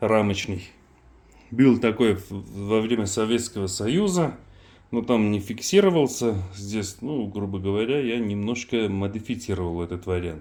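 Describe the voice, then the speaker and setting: A man's fairly low pitch with ordinary pitch variation. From Armenia. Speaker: knife maker. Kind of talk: casual product demonstration. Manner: halting, many fillers.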